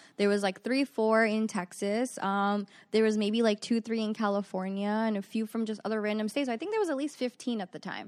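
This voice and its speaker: On a very clean recording with a silent background, a woman speaks at a fairly quick pace with fairly even intonation, the sound dry and close with no echo. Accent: New York. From New York (Queens, Long Island). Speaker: magazine CEO. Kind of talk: casual interview.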